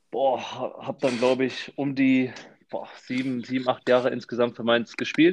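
A man of medium pitch at a fairly slow pace, a plain, everyday voice, over a quiet background. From Frankfurt, Hesse, Germany. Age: 20s. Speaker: professional footballer. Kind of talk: casual chat.

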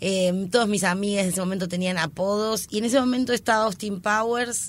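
An unremarkable speaking voice moves at a medium tempo, pitch varying normally, on a very clean recording with a silent background. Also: woman. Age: 30s. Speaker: comedian. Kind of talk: casual interview.

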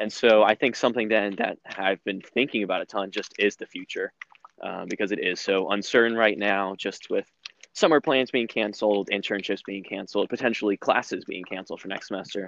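A man with an American accent has a plain, everyday voice, fairly low in pitch, and moves at a fairly quick pace. His intonation is fairly even, and the sound is dry and close with no echo. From US South, North Carolina (Raleigh). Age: young. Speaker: university student. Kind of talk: casual chat.

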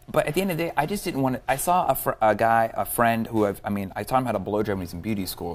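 A man with an American accent speaks at a very fast pace with lively intonation. Music plays in the background. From Southern California. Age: 30s. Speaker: hairdresser and educator. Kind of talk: interview.

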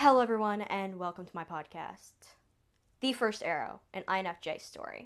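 Against a quiet background, a woman with an American accent speaks at a medium pitch, her pitch varying in an ordinary way and her loudness swinging widely. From US South. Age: 20s. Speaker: podcast host. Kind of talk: casual monologue.

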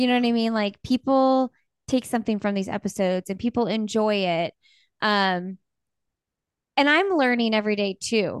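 Pausing long and often, a woman with a Midwestern American accent speaks with a fairly high pitch, ordinary pitch variation, and very even loudness, in a dry, close sound with no echo and a quiet background. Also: moderate pace. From Bloomington, Indiana. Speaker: podcaster and podcast network owner. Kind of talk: casual interview chat.

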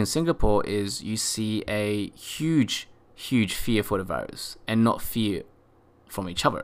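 A man speaks with an Australian accent. His pitch is medium, with ordinary pitch variation. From Australia, Sydney. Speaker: podcast host, marketing manager. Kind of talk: solo podcast monologue. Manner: hesitant, many fillers.

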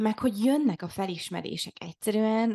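At a moderate pace and with ordinary pitch variation, a woman speaks against a quiet background in a dry, close sound with no echo. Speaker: podcast co-host. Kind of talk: casual chat. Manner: halting.

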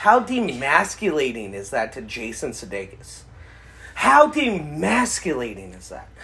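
The voice has a bright, sharp tone with vocal fry, very wide pitch swings, big swings in loudness, and a fairly slow pace. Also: man, fairly high pitch for a man. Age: 30s. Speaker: podcast co-host. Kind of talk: casual chat.

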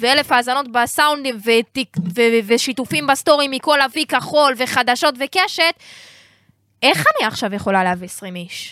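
The voice is raised and projected, with a bright, sharp tone. Its intonation is lively and the pace moderate. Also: woman. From Israel, Jerusalem. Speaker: rapper and music marketing advisor. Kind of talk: casual chat. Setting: studio.

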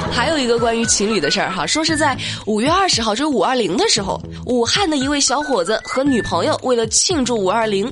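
With noticeable background noise, a woman speaks at a fairly quick pace and a fairly high pitch, her tone animated, her pitch swinging very widely and her loudness very even. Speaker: radio news show host. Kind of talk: light-hearted news commentary. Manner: animated, frequent laughter.

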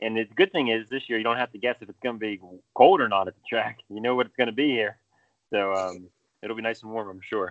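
Talking at a very fast pace with an American accent, a man keeps a medium pitch with ordinary pitch variation and big swings in loudness. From Pennsylvania. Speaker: podcast co-host. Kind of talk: casual chat.

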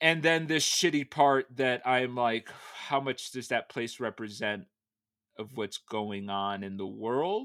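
A man with an American accent speaks very slowly at a medium pitch, his tone bright and sharp and his intonation lively. The recording is very clean, with a silent background. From US Northeast, Connecticut. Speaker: interview guest. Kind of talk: casual interview.

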